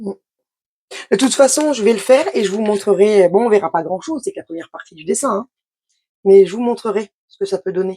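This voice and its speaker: With a dark, mellow tone and ordinary pitch variation, a woman talks at a fairly quick pace broken by long, frequent pauses. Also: medium pitch for a woman. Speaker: craft youtuber. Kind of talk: unboxing tutorial. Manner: fast; casual, hesitant.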